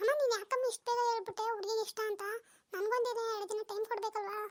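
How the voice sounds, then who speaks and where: A cartoonish character voice from a woman, extremely high-pitched, flat and monotone, at a fairly quick pace. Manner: soft-spoken, deferential.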